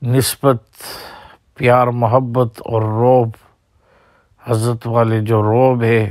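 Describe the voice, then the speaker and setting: Speaking in a monotone, flat intonation at medium pitch, a man leaves long, frequent pauses. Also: very even loudness. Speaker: Islamic scholar recounting memories of his spiritual mentor. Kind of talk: personal reminiscence. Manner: halting.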